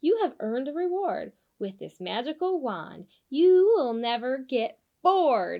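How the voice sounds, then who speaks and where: A put-on character voice makes very wide pitch swings. The pace is moderate. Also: woman, high pitch for a woman. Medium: read story. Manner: grand, rhyming pronouncement.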